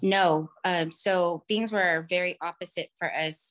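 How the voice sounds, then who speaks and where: Recorded in a dry, close sound with no echo and a quiet background, a woman speaks at a fairly low pitch. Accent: American. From California. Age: 30s. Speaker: caller. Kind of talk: call-in advice conversation. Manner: hesitant, many fillers.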